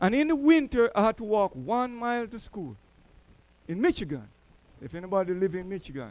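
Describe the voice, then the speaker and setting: Speaking fairly quickly in a Jamaican accent, a high-pitched man swings widely in pitch and loudness, with long, frequent pauses. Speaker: church elder, preacher. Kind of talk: sermon. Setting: church.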